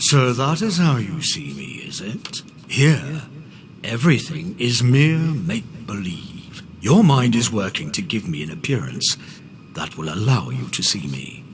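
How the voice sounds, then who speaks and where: Against clear background noise, a man puts on a character voice at a medium pitch. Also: moderate pace. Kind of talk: video game voice acting. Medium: video game. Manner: imperious, commanding.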